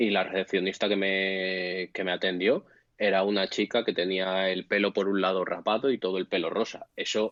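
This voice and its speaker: Speaking at a moderate pace, a man with a very deep, low pitch keeps his intonation monotone and flat. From Spain. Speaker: bartender. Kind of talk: casual chat.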